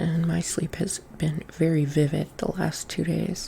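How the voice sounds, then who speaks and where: Delivery is fairly slow. The speaker is soft-spoken. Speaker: vlogger hosting a call-in show. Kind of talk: casual monologue. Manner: quiet, soft-spoken; halting, rambling with fillers.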